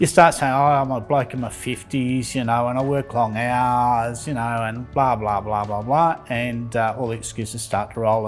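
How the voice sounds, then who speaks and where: Over background music, a man of medium pitch with an Australian accent speaks with fairly even intonation. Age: 60s. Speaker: patient. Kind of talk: testimony.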